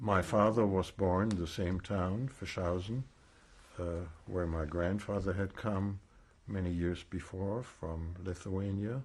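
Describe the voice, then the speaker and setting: A German accent, fairly even intonation and a fairly slow pace. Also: man, very deep, low pitch for a man. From Germany, East Prussia. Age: 70s. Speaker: Holocaust survivor. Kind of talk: oral history testimony interview. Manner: measured, with frequent hesitations.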